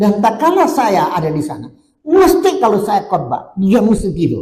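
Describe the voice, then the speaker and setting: A man's dark, mellow voice with very wide pitch swings, in audible room echo. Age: 70s. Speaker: pastor. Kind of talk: sermon.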